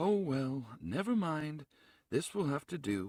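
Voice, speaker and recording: A man puts on a character voice at a fairly high pitch and a fairly slow pace. The recording is very clean with a silent background. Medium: read story. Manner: solemn, slow.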